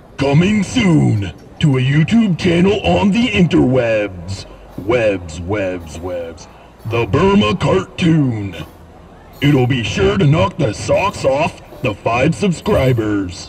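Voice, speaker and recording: A cartoonish character voice moves at a very slow pace with very wide pitch swings over clear background noise. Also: man, medium pitch for a man. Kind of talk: parody movie trailer voice-over.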